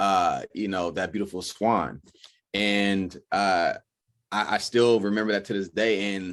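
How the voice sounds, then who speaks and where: A man with an American accent speaks at a very slow pace in a fairly low pitch. His intonation is monotone and flat. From Oakland, California. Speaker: actor. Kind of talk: interview. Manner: casual, many fillers.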